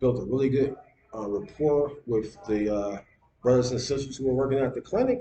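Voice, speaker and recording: A man's somewhat breathy voice has a dark, mellow tone, medium pitch and ordinary pitch variation. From US, Detroit. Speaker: video blogger. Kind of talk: casual vlog monologue. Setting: at home on laptop. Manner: halting, many fillers and repeats.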